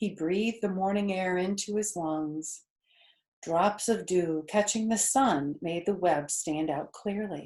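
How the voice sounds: A woman's slightly mellow, fairly low voice at a slow pace, with ordinary pitch variation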